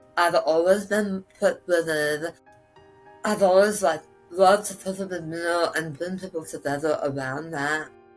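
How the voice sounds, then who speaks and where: Music plays in the background as a woman speaks at a fairly slow pace. Her pitch is fairly low and her intonation fairly even. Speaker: cancer survivor. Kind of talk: interview answer.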